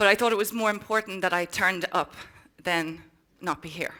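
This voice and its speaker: A woman speaks with an Irish accent in a bright, sharp tone. The recording is very clean, with a silent background. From Ireland. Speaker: social entrepreneur. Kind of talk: motivational keynote speech. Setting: conference stage with audience.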